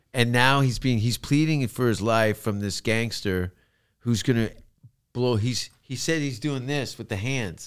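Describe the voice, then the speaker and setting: A man with an unremarkable speaking voice speaks at a fairly slow pace with ordinary pitch variation. The recording is very clean, with a silent background. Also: medium pitch for a man. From Canada. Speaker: comedian. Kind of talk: casual chat.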